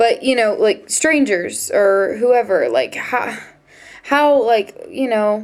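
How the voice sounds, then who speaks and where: The speaker is a woman. Her words come in an American accent. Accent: American accent noticed by locals. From United States. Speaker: vlogger, exchange student. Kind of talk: casual vlog monologue. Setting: dorm room. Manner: hesitant, many fillers.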